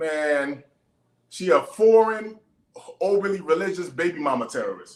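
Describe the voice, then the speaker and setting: A man with an American accent talks at a moderate pace in a high voice, with lively intonation and long, frequent pauses. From US, parents from Panama. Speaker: father in family court dispute, personal trainer. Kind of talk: casual interview chat. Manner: halting, many restarts.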